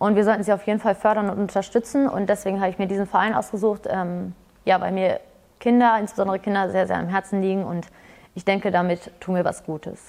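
Here a woman speaks at a very fast pace. Her medium pitch holds fairly even intonation. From Hameln, Lower Saxony, Germany. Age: 20s. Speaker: fitness studio employee and entrepreneur. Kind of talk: casual interview. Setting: fitness studio.

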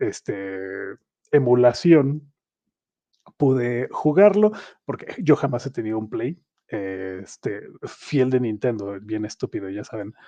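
This man has a medium pitch, a dark, mellow tone and lively intonation, speaking with a Mexican accent at a very slow pace. The sound is dry and close, with no echo. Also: big swings in loudness. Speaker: podcast host. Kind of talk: casual chat. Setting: live stream.

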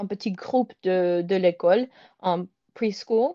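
Dark and mellow in tone, the voice sounds dry and close, without any echo. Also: woman, quiet background. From US (Michigan area), born in Moscow, moved at age 3. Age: 20s. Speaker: doctoral student and pianist. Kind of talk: casual chat. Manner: halting, many hesitations.

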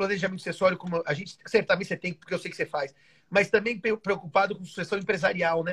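Talking at a very fast pace, a man with a high voice swings widely in loudness. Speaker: law professor. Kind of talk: casual chat. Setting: live video stream.

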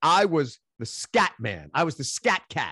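With a New York accent, a man speaks in a bright, sharp, animated tone with vocal fry and very wide pitch swings, the sound dry and close with no echo. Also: quiet background. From Queens, New York. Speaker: musician. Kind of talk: casual chat. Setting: video call.

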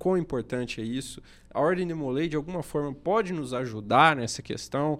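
A man speaks in a plain, everyday voice. The recording is very clean, and the background is silent. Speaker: podcast host, lawyer. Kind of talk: casual chat. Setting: studio.

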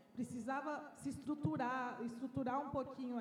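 Her high-pitched voice moves at a moderate pace with fairly even intonation over noticeable background noise. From interior of São Paulo state, Bauru. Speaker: basketball club marketing manager. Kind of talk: panel discussion. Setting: live event with audience.

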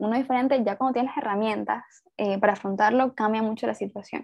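A woman's fairly high voice with a Venezuelan accent, at a fairly quick pace with ordinary pitch variation. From Venezuela, Puerto Ordaz. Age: 20s. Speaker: writer. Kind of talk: casual interview.

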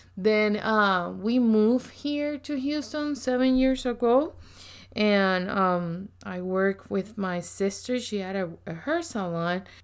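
With a strong Puerto Rican accent, a woman speaks at a very slow pace with lively intonation. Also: medium pitch for a woman. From Puerto Rico. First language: Spanish. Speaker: ministry leader. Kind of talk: casual chat.

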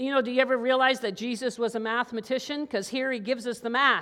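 In a very clean recording with a silent background, a woman uses a raised, projected voice with a high pitch and a bright, sharp tone. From Newfoundland, Canada. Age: 50s. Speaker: pastor. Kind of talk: sermon.

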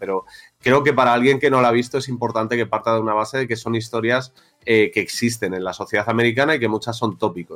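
A man with an unremarkable speaking voice, medium pitch, fairly even intonation and a fairly quick pace. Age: 40s. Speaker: podcast host. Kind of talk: casual chat. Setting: studio.

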